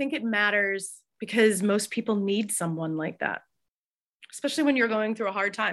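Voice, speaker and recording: A woman speaks in an ordinary speaking voice. Her pitch is medium, with ordinary pitch variation. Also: moderate pace. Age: 50s. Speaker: hospice chaplain and author. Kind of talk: interview, personal storytelling.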